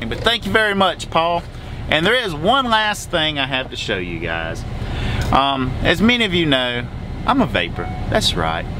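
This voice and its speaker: A man at a moderate pace, dry with no echo, noticeable background noise behind him. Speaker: truck driver vlogger. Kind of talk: casual vlog chat. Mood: cheerful, excited. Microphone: phone near.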